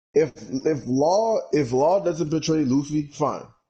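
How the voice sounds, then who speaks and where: The man's tone is dark and mellow, somewhat breathy. His intonation is lively. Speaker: podcast co-host. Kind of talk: casual chat. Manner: halting.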